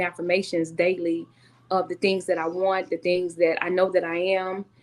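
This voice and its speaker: This woman speaks with a Southern US accent at a medium pitch. Her intonation stays monotone and flat. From US South, Tennessee. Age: 40s. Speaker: author and speaker. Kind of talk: interview.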